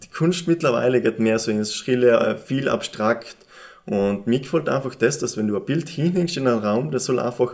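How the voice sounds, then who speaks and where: With an East Tyrolean accent, a man talks at a moderate pace in a medium pitch, his intonation lively. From East Tyrol, Austria. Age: 20s. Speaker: painter. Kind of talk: interview. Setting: summit cross exhibition space.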